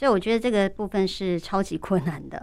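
This is a plain, everyday voice at a moderate pace. The recording is very clean, with a silent background. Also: woman. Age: 40s. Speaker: real-time captioner. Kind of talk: radio interview.

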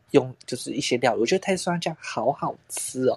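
A man with a normal speaking voice talks fairly quickly, his intonation lively. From southern Taiwan, Tainan. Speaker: podcast co-host. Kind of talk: casual chat.

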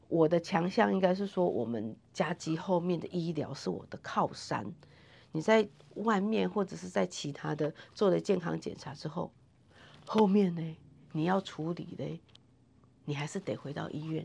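A woman with a Taiwanese accent speaks at a moderate pace in a fairly low voice with vocal fry, lively intonation and long, frequent pauses. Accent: Taiwanese Mandarin. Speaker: nurse and health center manager. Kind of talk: interview. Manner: animated.

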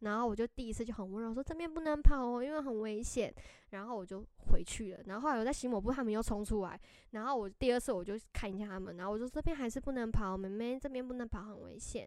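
A woman's fairly high-pitched voice at a very fast pace, with ordinary pitch variation. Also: big swings in loudness. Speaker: podcast co-host. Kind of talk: casual chat.

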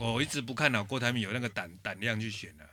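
A man talks at medium pitch with a bright, sharp tone. The recording is very clean, with a silent background. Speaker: political podcast host. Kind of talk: casual chat.

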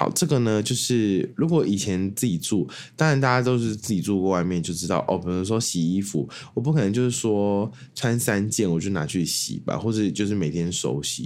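With lively intonation and a fairly low pitch, a man talks at a moderate pace in an ordinary speaking voice. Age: 20s. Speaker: podcast host. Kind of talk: casual solo monologue.

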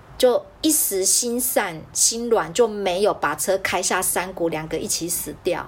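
A woman's fairly slow, lively-toned speech with hardly any pauses, over noticeable background noise. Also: medium pitch for a woman. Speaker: podcast host. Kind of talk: casual chat. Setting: video call.

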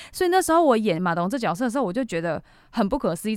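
Talking at a very fast pace, a woman with a fairly high pitch comes through in a very clean recording with a silent background. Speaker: TV actor. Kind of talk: casual interview.

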